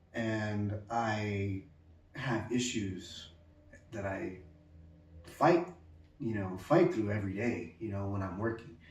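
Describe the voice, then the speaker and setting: A man speaking at a very slow pace with long, frequent pauses, in audible room echo. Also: ordinary pitch variation. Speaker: pyrography artist. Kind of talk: personal message to viewers. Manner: halting, many fillers.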